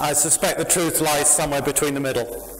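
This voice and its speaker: Noticeable background noise and audible room echo surround a man with a British accent and a fairly high pitch. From UK. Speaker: software company founder and conference speaker. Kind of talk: tech conference talk. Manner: animated.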